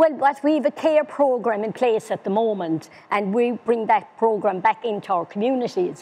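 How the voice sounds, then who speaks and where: A woman with a Cork accent speaks at a fairly high pitch, her dark, mellow tone carried by lively intonation. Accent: Irish (Cork). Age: 70s. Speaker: older people's council officer. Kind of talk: interview. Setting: webinar.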